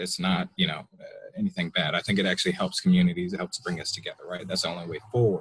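A man with an American accent and very wide pitch swings. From US South (Atlanta suburbs); US South. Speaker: audience member. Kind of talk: audience question. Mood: polite, thoughtful. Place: home room. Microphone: earbuds.

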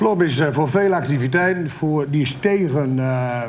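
A man speaks with a Drenthe accent at a fairly slow pace with ordinary pitch variation over light background noise. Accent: Drents dialect. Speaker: local politician. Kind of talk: TV debate. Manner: blunt, outspoken. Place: studio.

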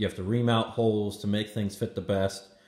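A dark, mellow tone comes through at a moderate pace, with audible room echo. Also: man. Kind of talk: casual explanatory commentary. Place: garage. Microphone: phone near.

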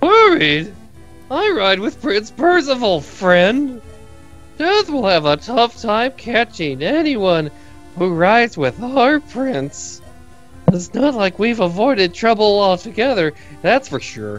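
Over clear background music, a man uses a put-on character voice, pitched high and delivered at a fairly slow pace. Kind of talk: laid-back surfer slang delivery. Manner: casual, jovial.

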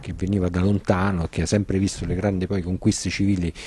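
A man speaks at a very deep, low pitch with a dark, mellow tone. His intonation is fairly even, and the sound is dry with no echo. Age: young. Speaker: political activist and author; interviewee. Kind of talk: interview. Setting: café. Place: cafe. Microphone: handheld.

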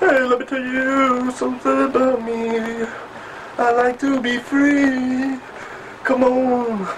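Against noticeable background noise, the voice moves at a very slow pace in a monotone, flat intonation. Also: man, fairly high pitch for a man. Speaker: comedy performer. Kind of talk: stand-up comedy. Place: home room.

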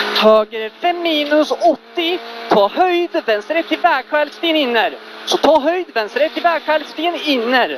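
An excited tone at a fairly slow pace, dry with no echo, against noticeable background noise. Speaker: rally co-driver. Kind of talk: rally co-driver pace notes. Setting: rally car during a stage. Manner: relieved and excited after the finish line. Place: car. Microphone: helmet.

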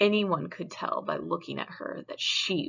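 The clip has an unforced reading voice. It carries through the whole recording.

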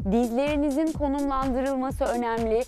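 Faint music plays in the background as a woman speaks at a high pitch with ordinary pitch variation, the sound dry with no echo. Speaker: fitness trainer. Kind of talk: workout tutorial. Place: garden. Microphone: lapel.

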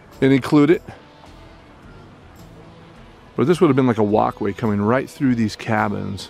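Faint music plays behind a man speaking at a moderate pace with ordinary pitch variation, the sound dry with no echo. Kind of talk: casual exploration commentary. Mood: cautious, slightly nervous. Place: open country. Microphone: phone near.

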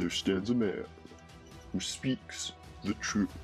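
Over clear background music, a man puts on a character voice at a fairly low pitch and a fairly slow pace. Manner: dramatic, booming.

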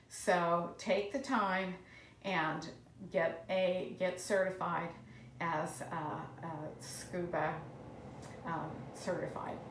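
Amid audible room echo and light background noise, a woman with an American accent talks fairly low and very slowly, with ordinary pitch variation and long, frequent pauses. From Colorado. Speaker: marine biologist; marine biologist educator. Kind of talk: educational live stream. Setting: aquarium. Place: classroom. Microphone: phone near.

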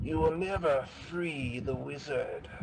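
A put-on character voice speaks at a fairly slow pace over clear background noise. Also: man, fairly high pitch for a man. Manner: eerie; beckoning.

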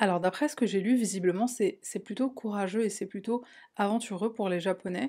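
Over a quiet background, a woman talks at a fairly quick pace in a dark, mellow tone with fairly even intonation. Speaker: true crime youtuber. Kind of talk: true crime narration. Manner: casual, with fillers. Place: home room.

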